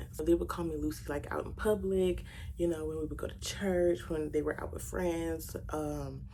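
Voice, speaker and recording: A woman speaks with an American accent at a moderate pace. Room echo is audible. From Louisiana, Baton Rouge. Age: 20s. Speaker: beauty YouTuber. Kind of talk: makeup tutorial with casual Q&A chat. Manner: chatty, conversational.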